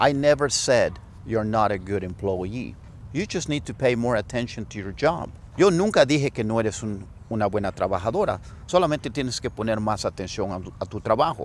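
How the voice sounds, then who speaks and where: A man with lively intonation at a fairly quick pace, dry sound with no echo and light background noise. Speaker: English teacher. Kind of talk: lesson explaining a dialogue. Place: open country.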